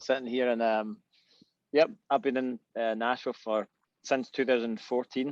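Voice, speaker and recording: A man with a west of Scotland accent, medium in pitch and fairly even in intonation, at a moderate pace with long, frequent pauses and a dry, close sound with no echo. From Scotland, Irvine, Ayrshire. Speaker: musician. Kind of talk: casual chat. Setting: video call from back porch.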